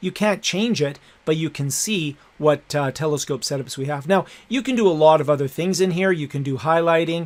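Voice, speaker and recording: A man talks at a fairly quick pace and fairly high pitch in an ordinary speaking voice. The recording is very clean, with a silent background. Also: ordinary pitch variation. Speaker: educational technology instructor. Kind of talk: tutorial.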